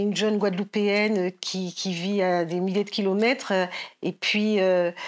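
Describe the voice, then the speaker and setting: On a very clean recording with a silent background, a woman talks very slowly. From Paris region, France (Guadeloupean family). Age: 60s. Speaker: novelist. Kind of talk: literary talk. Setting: library event with audience. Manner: halting.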